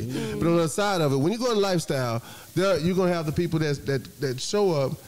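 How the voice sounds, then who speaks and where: The delivery is playful, with lively intonation at a very fast pace. Music plays in the background. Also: man. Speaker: talk show host. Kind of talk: live talk show with audience, casual banter. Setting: on camera, live audience. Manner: game show host style, hyped up, playful.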